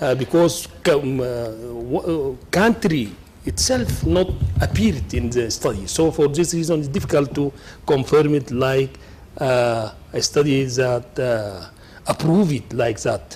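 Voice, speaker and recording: With a non-native accent, a man speaks at a fairly slow pace in a medium pitch with lively intonation. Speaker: member of parliament. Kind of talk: floor intervention. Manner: halting.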